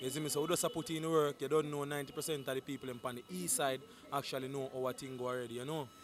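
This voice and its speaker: A man with a Jamaican accent, fairly high in pitch, very fast, with fairly even intonation, over noticeable background noise. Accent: Jamaican Patois. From St Thomas, Jamaica. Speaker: dancehall artist. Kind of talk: interview answer. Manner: casual.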